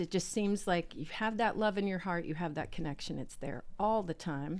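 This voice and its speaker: Speaking with a Southern US accent, a woman with a fairly low pitch keeps a moderate pace and ordinary pitch variation on a very clean recording with a silent background. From US South. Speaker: tarot reader. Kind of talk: casual podcast chat. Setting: podcast recording. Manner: animated.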